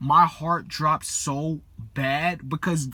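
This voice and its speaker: Fairly high in pitch, a man speaks with a bright, sharp tone and fairly even intonation. The recording is very clean with a silent background. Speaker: video blogger sharing dreams. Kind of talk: casual personal testimony. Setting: in a parked car. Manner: halting, filler-heavy.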